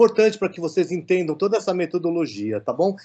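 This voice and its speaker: A man's dark, mellow tone with lively intonation against a quiet background. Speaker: professor giving a lecture. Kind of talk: online lecture. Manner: halting with many fillers.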